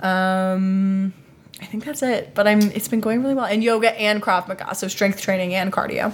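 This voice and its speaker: A woman talks at a moderate pace with a normal speaking voice and medium pitch. Her intonation stays fairly even. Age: 20s. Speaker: podcast host and actor. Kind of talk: casual chat.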